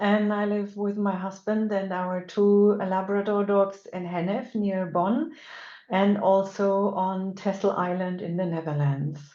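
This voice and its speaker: A woman with a German accent speaks at a fairly slow pace in a medium pitch, her dark, mellow tone and fairly even intonation carried over audible room echo. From Germany. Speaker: animal communicator and energy work teacher. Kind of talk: webinar lecture. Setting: online webinar. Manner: halting with many fillers.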